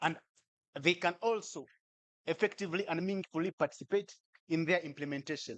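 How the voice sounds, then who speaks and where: With a non-native accent, a man speaks fairly quickly in a high pitch, his intonation fairly even, leaving long, frequent pauses, and the sound is dry and close with no echo. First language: not English. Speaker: youth ambassador panelist. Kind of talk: panel discussion.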